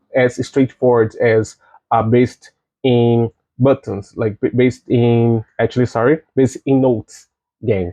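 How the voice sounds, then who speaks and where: In a non-native accent, a man speaks at a fairly slow pace with a medium pitch and monotone, flat intonation. His loudness stays very even, and the sound is dry and close with no echo. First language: not English. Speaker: game developer. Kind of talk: recorded conference talk. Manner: halting, many fillers and restarts.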